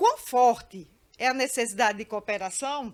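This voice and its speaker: Ordinary pitch variation in a fairly high voice belonging to a woman. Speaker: judge. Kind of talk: panel discussion. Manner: halting.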